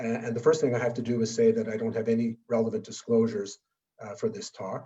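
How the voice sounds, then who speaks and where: The voice moves at a very fast pace, with a dark, mellow tone, monotone, flat intonation and a somewhat breathy quality. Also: man, medium pitch for a man. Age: 70s. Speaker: public health physician presenting at a webinar. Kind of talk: lecture.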